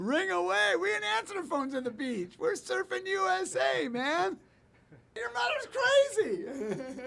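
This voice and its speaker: A man's raised, projected voice at an extremely high pitch, fairly slow, with very wide pitch swings and noticeable background noise. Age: 60s. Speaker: museum co-founder. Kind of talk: interview. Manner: animated.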